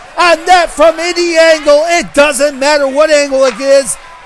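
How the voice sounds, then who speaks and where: Loud and extremely high-pitched, a man talks at a moderate pace with ordinary pitch variation over noticeable background noise. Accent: American. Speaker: hockey play-by-play announcer. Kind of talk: live commentary. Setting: ice rink. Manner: animated.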